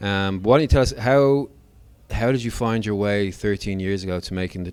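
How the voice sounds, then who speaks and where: A man with an Irish accent talks at a fairly quick pace, his fairly low voice keeping a fairly even intonation. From Ireland. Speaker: podcast host. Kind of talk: podcast interview.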